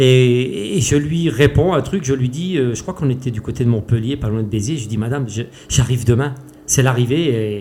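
With noticeable background noise behind him, a man at medium pitch talks at a fairly quick pace with ordinary pitch variation. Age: 50s. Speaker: race walker, athlete. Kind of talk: interview. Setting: face to face at host's home. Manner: animated, passionate.

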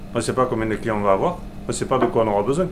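There is audible room echo around a man's voice. Noticeable background noise can be heard as well. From Aveyron, France. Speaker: butcher. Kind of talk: interview.

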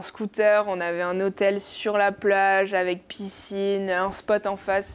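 A woman with a slight southwestern French accent speaks at medium pitch in a monotone, flat delivery, fairly slowly and with hardly any pauses, on a very clean recording with a silent background. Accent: slight south-west French. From French Basque coast (Bayonne). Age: young. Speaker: professional surfer. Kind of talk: casual interview.

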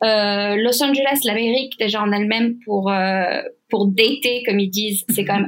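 The speaker keeps a moderate pace, very even loudness and fairly even intonation. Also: woman. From southern France, Saint-Tropez. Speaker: guest sharing bereavement story. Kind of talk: testimony. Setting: remote recording. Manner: halting. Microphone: poor sound quality.

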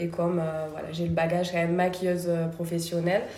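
A soft-spoken woman with a fairly low pitch talks at a moderate pace amid noticeable background noise and audible room echo. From France, Toulouse. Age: 30s. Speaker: beauty studio founder and trainer. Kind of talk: interview conversation. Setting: in her beauty studio. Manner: soft-spoken and smiling.

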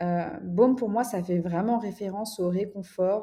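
A woman speaks at medium pitch with fairly even intonation, in a somewhat breathy voice with a dark, mellow tone. The background is quiet. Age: 20s. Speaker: entrepreneur and art director. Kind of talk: casual interview chat.

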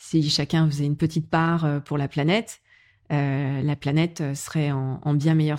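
Very deep and low in pitch, a woman speaks with fairly even intonation. The recording is very clean, with a silent background. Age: 40s. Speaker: business executive. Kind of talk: casual chat. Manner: hesitant, many fillers.

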